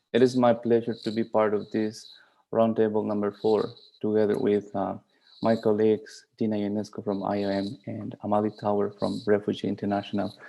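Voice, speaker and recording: A man talks at a moderate pace in a fairly low voice with a dark, mellow tone. His intonation is flat and monotone over a quiet background. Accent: Spanish. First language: Spanish. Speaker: migration policy advisor and academic. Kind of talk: panel presentation. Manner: halting, many fillers.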